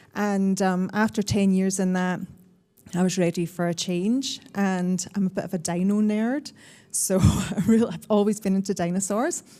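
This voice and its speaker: Her medium-pitched voice has a dark, mellow tone as this woman speaks at a moderate pace with fairly even intonation. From Scotland. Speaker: industry panellist, executive officer. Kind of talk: panel talk.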